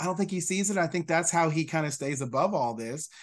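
With a quiet background, a man talks at a high pitch with an American accent and lively intonation. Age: 40s. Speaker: state legislator, former teacher. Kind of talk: casual interview.

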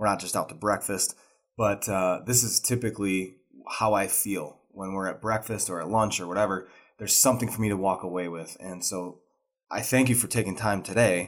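An unremarkable speaking voice from a man, fairly low in pitch with fairly even intonation, at a fairly quick pace, in a very clean recording with a silent background. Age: 30s. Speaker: podcast host. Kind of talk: interview conversation.

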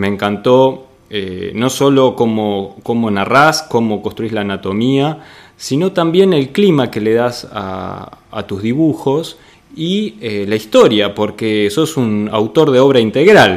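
Speaking at a very slow pace, a man uses a medium pitch. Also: lively intonation. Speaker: podcast host and interviewer. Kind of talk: interview.

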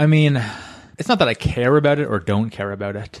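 A man with a Canadian accent speaks at a moderate pace with ordinary pitch variation in an unremarkable speaking voice. The recording is very clean, with a silent background. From Ottawa, Canada. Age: 30s. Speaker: hobbyist stand-up comedian, engineer. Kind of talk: casual chat. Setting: home spare bedroom with handheld mics.

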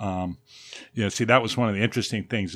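His voice is a plain, everyday voice. The man's pitch sits fairly low and shifts with ordinary variation. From Southern California, Pasadena. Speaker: retired crisis worker and dance caller. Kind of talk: casual chat.

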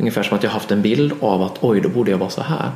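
A man talks at a very fast pace. Noticeable background noise and audible room echo fill the clip. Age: 40s. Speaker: therapist and author. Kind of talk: interview conversation. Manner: halting, repeats words.

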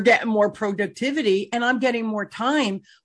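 A woman uses a plain, everyday voice, keeping a moderate pace and ordinary pitch variation. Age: 60s. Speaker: podcast host and sales coach. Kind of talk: interview, casual business chat.

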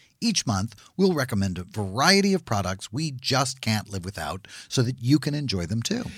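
In a very clean recording with a silent background, a man with a medium pitch sounds somewhat breathy and swings his pitch very widely. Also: moderate pace. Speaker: podcast host. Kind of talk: banter-filled live comedy interview. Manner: joking, playful.

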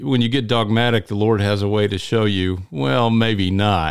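Speaking at a moderate pace, a man with a Southern US accent uses a fairly low pitch. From US Deep South. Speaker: podcast host. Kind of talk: casual interview.

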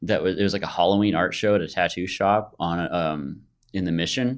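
With an American accent, a man talks at a moderate pace in a very deep, low pitch, captured in a very clean recording with a silent background. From US West Coast, San Francisco Bay Area (Fremont, California). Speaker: sign painter. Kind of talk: casual interview.

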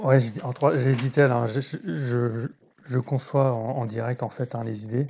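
A man talks at a very slow pace, somewhat breathy, with a dark, mellow tone. His medium pitch varies in an ordinary way. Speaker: podcast host on trading psychology. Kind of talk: solo podcast monologue, book review. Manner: hesitant, many fillers and repetitions; improvised, thinking aloud.

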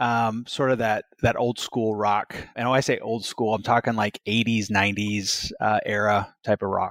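A man speaks at a fairly slow pace in a medium pitch. It is an ordinary speaking voice, with a dry, close sound and no echo. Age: 40s. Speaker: construction company executive. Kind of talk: interview.

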